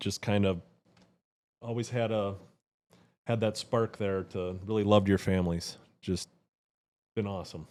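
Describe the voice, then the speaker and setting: A man with a Wisconsin accent speaks at a fairly low pitch and moderate pace, with long, frequent pauses. His intonation is monotone and flat, on a very clean recording with a silent background. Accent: Wisconsin accent, noticeable to Southerners. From Wisconsin, USA. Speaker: churchgoing friend. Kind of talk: casual chat, testimony. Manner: halting, many restarts.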